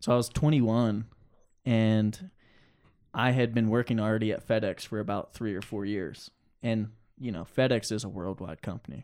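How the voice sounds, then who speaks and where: Over a silent background in a very clean recording, a man with an American accent speaks at a moderate pace. His pitch varies in an ordinary way, with long, frequent pauses. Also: medium pitch for a man. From New Jersey, Pine Barrens. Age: 20s. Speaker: rock climber. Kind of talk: casual interview.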